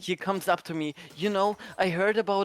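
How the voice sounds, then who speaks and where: With a Polish accent, the speaker keeps to a moderate pace. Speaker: livestreamer. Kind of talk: casual chat.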